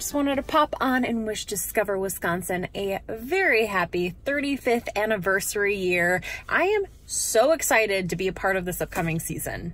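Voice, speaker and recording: A woman at a moderate pace, in a dry sound with no echo. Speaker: travel show host. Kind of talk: casual vlog chat. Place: car. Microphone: phone near.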